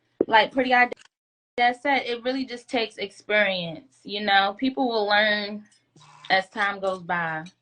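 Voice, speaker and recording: At a fairly slow pace, a woman talks with a fairly high pitch and a bright, sharp tone. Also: ordinary pitch variation. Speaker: guest. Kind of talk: casual chat. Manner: soft-spoken.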